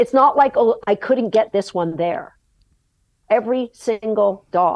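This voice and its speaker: A woman talks at a fairly slow pace in an unremarkable speaking voice. Her pitch is fairly high, with lively intonation. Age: 60s. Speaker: agility dog trainer. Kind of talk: podcast interview conversation.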